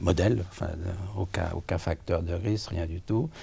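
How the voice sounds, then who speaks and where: A man speaks at a moderate pace with a very deep, low pitch and a dark, mellow tone. His voice is somewhat breathy, and his intonation stays fairly even. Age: 70s. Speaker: patient with cardiac amyloidosis. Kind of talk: interview testimony. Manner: halting, many hesitations.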